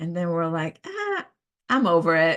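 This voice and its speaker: In a Brazilian Portuguese accent, a woman speaks at a moderate pace and a fairly low pitch over a quiet background. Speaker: professional organizer. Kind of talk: casual talk. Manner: halting, many fillers.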